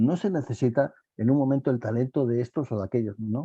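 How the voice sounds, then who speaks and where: A man with a medium-pitched, somewhat breathy voice and a dark, mellow tone speaks at a moderate pace, recorded dry and close with no echo against a quiet background. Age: 70s. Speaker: panel guest in online talk. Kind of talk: panel discussion. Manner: animated, repetitive phrasing.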